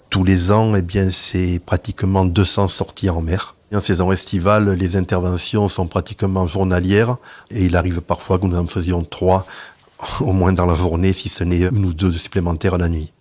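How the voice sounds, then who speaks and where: A man's very deep, low pitch in a monotone, flat intonation, at a moderate pace with very even loudness. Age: 60s. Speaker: sea rescue volunteer. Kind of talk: testimony.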